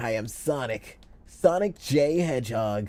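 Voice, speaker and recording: The voice is a put-on character. It moves at a fairly slow pace. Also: man, medium pitch for a man. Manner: cartoonish, playful.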